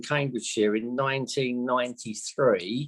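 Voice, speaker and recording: With a plain, everyday voice, a man talks at a fairly slow pace and uses ordinary pitch variation. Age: 60s. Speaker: radio presenter. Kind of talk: interview.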